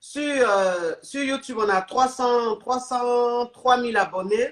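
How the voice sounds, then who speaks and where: A fairly high-pitched woman at a very slow pace, with ordinary pitch variation. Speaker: life coach and live streamer. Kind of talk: live stream call-in chat.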